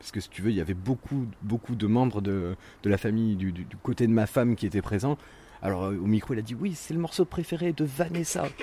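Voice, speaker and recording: A man's dark, mellow voice at medium pitch with lively intonation. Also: fairly quick pace. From western France, near Saint-Nazaire. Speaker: electronic music fan, former festival organiser. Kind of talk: casual interview. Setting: outdoors on a home terrace. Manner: hesitant, repeats words.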